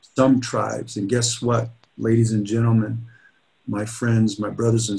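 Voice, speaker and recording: A somewhat breathy man is speaking. His intonation is monotone and flat. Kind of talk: keynote speech. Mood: earnest, rallying. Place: office. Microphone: webcam.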